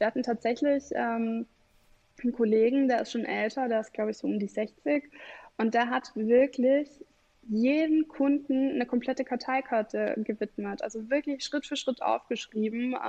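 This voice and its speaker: Her intonation is fairly even. The woman speaks at a high pitch. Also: moderate pace. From Bavaria, Germany. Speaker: customer relationship manager. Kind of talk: podcast interview.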